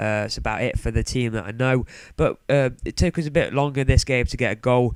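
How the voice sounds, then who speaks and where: With a British accent, a man talks at a fairly quick pace. His medium pitch shows ordinary variation. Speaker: gaming YouTuber. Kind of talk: gameplay commentary. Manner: casual, hesitant with fillers.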